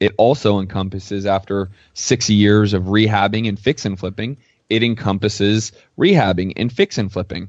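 A man talks at a moderate pace with a fairly low pitch. His is a plain, everyday voice with fairly even intonation. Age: 30s. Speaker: real estate investor and coach. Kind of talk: casual interview.

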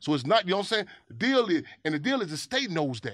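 The delivery is very fast and animated, with very wide pitch swings. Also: man. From Chicago. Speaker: activist. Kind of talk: interview conversation.

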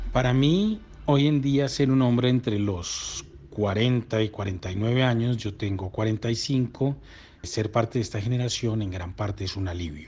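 A man talks very slowly, his medium-pitched voice varying in pitch in an ordinary way. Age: 40s. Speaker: podcast interviewee. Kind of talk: reflective monologue answer.

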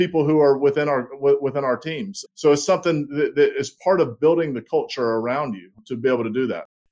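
Speaking at a fairly quick pace in a Southern US accent, a man uses a fairly high pitch with ordinary pitch variation. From US South, small-town South Carolina. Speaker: logistics executive. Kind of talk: interview. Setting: video call.

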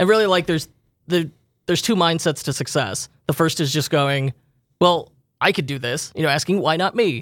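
A man with a normal speaking voice at a fairly high pitch, ordinary pitch variation and a moderate pace, in a very clean recording with a silent background. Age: 30s. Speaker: e-commerce podcast host. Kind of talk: casual chat.

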